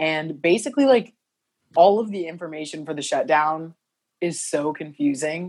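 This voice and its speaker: A woman with an American accent has an unremarkable speaking voice, a fairly low pitch and ordinary pitch variation. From US Midwest, southern Illinois. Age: 20s. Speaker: model. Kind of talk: casual chat. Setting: video call.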